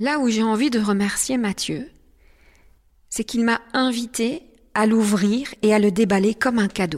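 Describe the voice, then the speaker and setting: Very slow delivery from a woman, fairly high in pitch, with ordinary pitch variation. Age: 50s. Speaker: life coach and podcast host. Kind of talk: personal monologue podcast.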